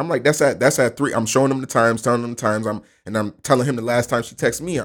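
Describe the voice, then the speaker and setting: A man talking at a very fast pace in an animated tone. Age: 20s. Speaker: substitute co-host. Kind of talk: casual chat.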